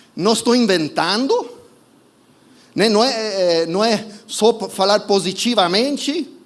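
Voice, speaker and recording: A man speaks with a non-native accent. Noticeable background noise runs through the clip. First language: not Portuguese (speaking Portuguese). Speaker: preacher. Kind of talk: sermon. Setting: church service streamed online. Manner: halting, self-correcting.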